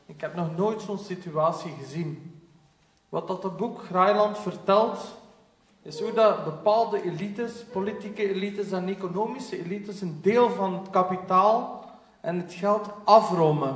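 A high-pitched man speaks at a fairly slow pace with ordinary pitch variation, and audible room echo surrounds him. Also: big swings in loudness. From West Flanders, Belgium. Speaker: panel moderator, researcher; panel moderator. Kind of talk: moderated panel discussion. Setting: stage with audience. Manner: animated. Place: hall. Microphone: camera far.

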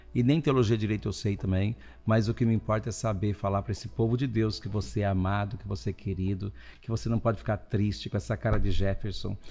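A man's very fast speech with vocal fry, a dark, mellow tone, a fairly low pitch and ordinary pitch variation. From Brazil, interior of São Paulo state. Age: 60s. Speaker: guest priest. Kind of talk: casual chat. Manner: animated. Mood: warm, humorous. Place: studio. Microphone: studio mic.

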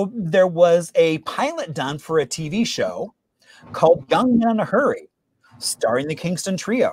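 Enthusiastic and upbeat, a man speaks fairly slowly at a high pitch, with lively intonation and a dry sound that has no echo. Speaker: host of a history trivia show; local historian. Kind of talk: presentation talk to an online audience. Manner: enthusiastic, upbeat. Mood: enthusiastic, friendly. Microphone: video call.

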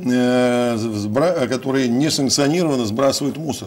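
A man at a very slow pace. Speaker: city mayor. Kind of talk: interview. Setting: studio. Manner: halting. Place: studio.

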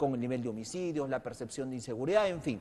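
A man speaks at a very fast pace with lively intonation. His tone is dark and mellow. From Peru. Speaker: TV news host. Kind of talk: political interview. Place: studio. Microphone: lapel.

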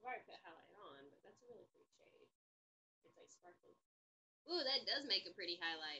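A woman with an American accent speaks at a fairly quick pace but with long, frequent pauses. Her pitch swings very widely, her loudness varies greatly, and light background noise is present. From US South. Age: 20s. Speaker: service dog vlogger; vlogger. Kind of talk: casual livestream chat; casual vlog chat. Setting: livestream while doing makeup. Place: home room. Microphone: webcam.

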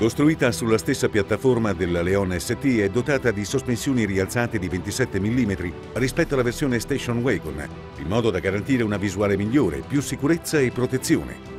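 With clear music in the background, a man with a fairly low pitch talks at a fairly quick pace, his pitch swinging very widely in a dry sound with no echo. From Italy. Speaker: voice actor. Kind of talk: TV commercial read. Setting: studio. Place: booth. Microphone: studio mic.

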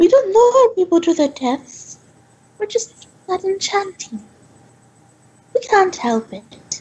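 A female-sounding voice uses a put-on character voice at an extremely high pitch. The pace is fairly slow, with long, frequent pauses. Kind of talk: in-character interview. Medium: actual play. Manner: earnest, calm, slightly formal and defensive.

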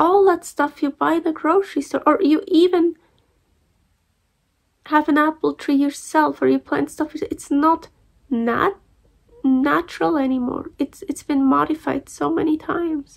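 A woman speaks in a high voice with ordinary pitch variation, leaving long, frequent pauses against a quiet background. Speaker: vlogger. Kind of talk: casual vlog chat. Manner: tired, muffled voice under dressing. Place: home room. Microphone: phone near.

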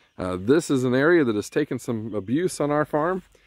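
The recording of this man's voice is dry, with no echo. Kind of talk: tutorial. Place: open country. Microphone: phone near.

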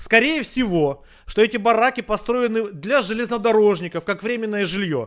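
A man speaks in a high pitch. The recording is very clean, with a silent background. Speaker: video chat roulette host. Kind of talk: casual chat. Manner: calm.

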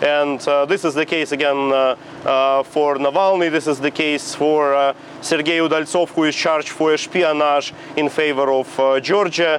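With a Russian accent, a man talks at a moderate pace in a monotone, flat delivery at very even loudness. Light background noise sits behind him. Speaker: exiled opposition politician. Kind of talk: TV interview. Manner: halting, with fillers. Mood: calm, serious. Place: street. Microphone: lapel.

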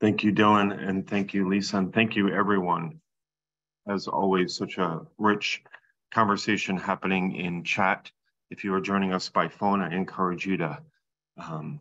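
A man's fairly low voice, bright and sharp in tone, at a moderate pace with fairly even intonation. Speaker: meeting host. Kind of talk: meeting facilitation. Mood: calm, welcoming. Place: home room. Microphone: video call.

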